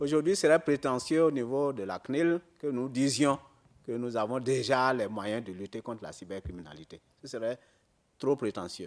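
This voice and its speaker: A man speaks at a moderate pace, his voice medium in pitch. The background is quiet. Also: lively intonation. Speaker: data protection commission member. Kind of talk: answering questions at a conference. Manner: halting.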